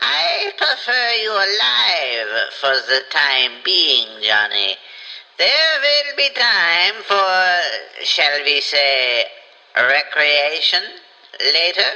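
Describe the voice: A man speaks very slowly in a high-pitched, put-on character voice, raised and projected, with long and frequent pauses.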